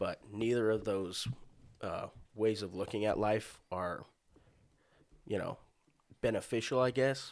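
A man speaks slowly in a fairly low voice with fairly even intonation. He leaves long, frequent pauses at a fairly slow pace. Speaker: podcast co-host. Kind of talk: casual chat.

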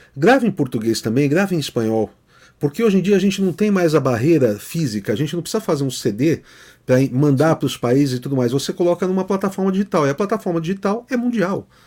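A man talks at a very fast pace, his pitch high with very wide swings and his tone dark and mellow. The recording is very clean, with a silent background. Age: 50s. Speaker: music producer. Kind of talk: casual chat. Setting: live stream.

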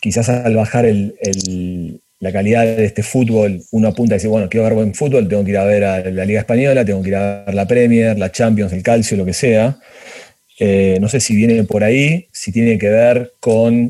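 Speaking at a moderate pace, a man uses a fairly low pitch with fairly even intonation. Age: 40s. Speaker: project creator. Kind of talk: casual interview. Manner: halting, many repetitions.

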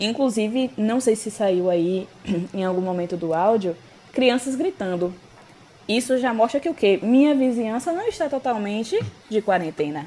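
Over noticeable background noise, a woman talks at a moderate pace. Her fairly high voice has lively intonation. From Brazil, Bahia. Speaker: podcast co-host, English teacher. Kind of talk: casual chat.

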